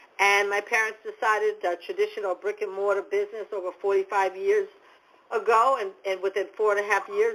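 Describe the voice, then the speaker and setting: A woman is speaking. She has a New England accent. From New England, US. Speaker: motivational speaker and business coach. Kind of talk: podcast interview. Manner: halting, many fillers and repeats.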